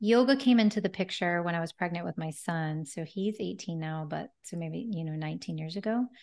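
In a calm tone, a woman talks at a fairly quick pace with hardly any pauses and a fairly low pitch. Her pitch varies in an ordinary way, and the background is quiet. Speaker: holistic health practitioner and yoga teacher. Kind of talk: interview. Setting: video call.

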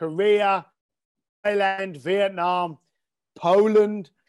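A man speaks in a London accent at a high pitch. The background is quiet. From East London. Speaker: entrepreneur. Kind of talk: interview.

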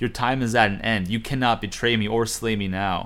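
The speech is plain reading aloud.

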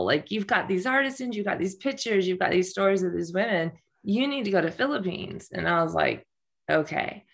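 With an American accent, this woman talks at a fairly quick pace and a medium pitch. Her intonation is lively, and hers is an unremarkable speaking voice. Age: 50s. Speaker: nonprofit founder and coach. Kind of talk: interview.

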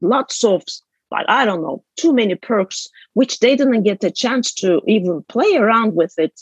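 A woman with a Turkish accent speaks in a fairly high, somewhat breathy voice with lively intonation, recorded with a dry, close sound and no echo. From Istanbul, Turkey. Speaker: author and business consultant. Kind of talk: interview conversation.

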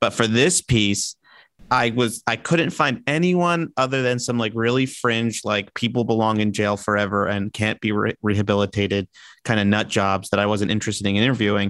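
A man with an American accent speaks in a plain, everyday voice, fairly low in pitch with ordinary variation, at a moderate pace and very even loudness, in a very clean recording with a silent background and a dry, close sound with no echo. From New York. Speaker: TV segment director. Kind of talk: casual chat.

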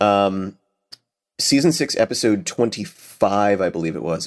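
A man with an American accent speaks in a normal speaking voice, his fairly low pitch carrying lively intonation at a moderate pace. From United States. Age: 30s. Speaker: voice actor. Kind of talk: casual interview chat.

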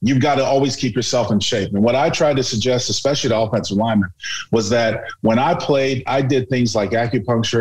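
At a very fast pace, a man speaks with a medium pitch. His voice is somewhat breathy, with ordinary pitch variation. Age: 50s. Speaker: radio analyst, former football player. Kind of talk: casual interview.

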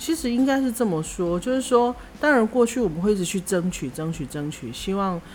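A woman's normal speaking voice at a moderate pace, with lively intonation. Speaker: podcast co-host. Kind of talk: casual chat.

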